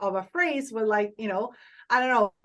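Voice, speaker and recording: A woman's enthusiastic delivery in an Italian accent, at a moderate pace with ordinary pitch variation. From Italy. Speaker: social media influencer and TV host. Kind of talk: podcast interview.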